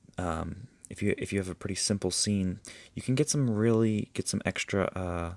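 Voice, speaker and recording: A man speaks at a fairly slow pace in a fairly low voice with ordinary pitch variation. The recording is very clean, with a silent background. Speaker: photography tutorial creator. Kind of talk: screen-recorded tutorial. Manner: hesitant, many fillers.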